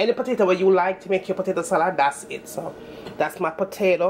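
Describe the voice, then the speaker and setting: A woman with a Jamaican accent, medium in pitch, with fairly even intonation. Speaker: home cook, cooking channel host. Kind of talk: casual cooking tutorial to camera.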